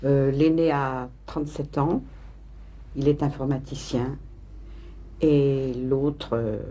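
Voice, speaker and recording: A woman speaks at a very slow pace in a dark, mellow tone. Vocal fry runs through her voice. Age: 60s. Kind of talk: documentary interview. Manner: halting.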